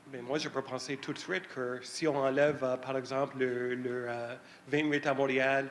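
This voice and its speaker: This man talks at a fairly slow pace and a medium pitch. His intonation is flat and monotone. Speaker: citizen asking a question. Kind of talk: public Q&A question. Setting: public meeting hall with audience. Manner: halting.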